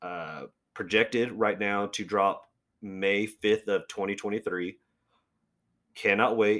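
Speaking at a very slow pace with long, frequent pauses, a man keeps a fairly low pitch and fairly even intonation. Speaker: podcast host, comic and movie fan. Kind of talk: casual solo podcast monologue, profane. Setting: home podcast recording, solo.

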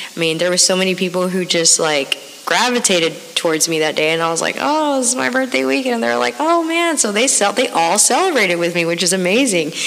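Very fast and very even in loudness, a woman's voice makes very wide pitch swings against noticeable background noise. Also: medium pitch for a woman. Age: 30s. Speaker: podcast host. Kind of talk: casual monologue. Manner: animated.

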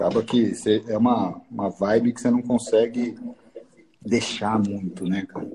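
An ordinary speaking voice moves at a fairly slow pace with fairly even intonation. Its loudness swings widely. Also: man, medium pitch for a man. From São Paulo, East Zone (Brazil). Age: 40s. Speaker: businessman, former company president. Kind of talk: casual chat.

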